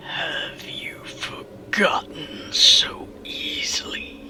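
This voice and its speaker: A man puts on a character voice, growling at an extremely high pitch. He speaks at a very slow pace. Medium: read story. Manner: eerie, menacing.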